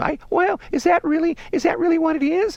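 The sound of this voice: A man talks at a fairly quick pace in a put-on character voice pitched extremely high. Light background noise sits behind him.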